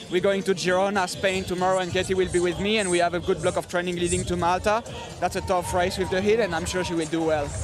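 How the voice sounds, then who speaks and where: Very fast, flat, monotone speech in a French accent, with music in the background. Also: man, high pitch for a man. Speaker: triathlete. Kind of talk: post-race interview.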